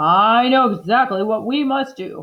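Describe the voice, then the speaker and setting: Putting on a character voice, a woman speaks at a moderate pace with a fairly high pitch and lively intonation. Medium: read story. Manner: blustering.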